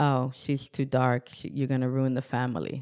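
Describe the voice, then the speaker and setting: A woman with a New York accent speaks in a very deep, low pitch. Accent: New York American. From Newburgh, New York, US. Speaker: pharmacist and Zumba instructor. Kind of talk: interview.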